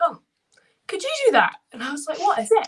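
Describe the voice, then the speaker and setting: A woman with a Scottish accent. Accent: Scottish, toned down in England. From Scotland, Ayr. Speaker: wheelchair basketball player. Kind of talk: interview. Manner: casual, with many fillers.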